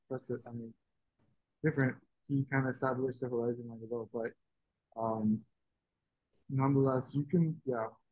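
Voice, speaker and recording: The speech is soft-spoken and fairly quick, with long, frequent pauses and fairly even intonation. The sound is dry and close with no echo. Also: man, medium pitch for a man. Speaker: art workshop instructor. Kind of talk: tutorial. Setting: video call. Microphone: too quiet, far from the mic.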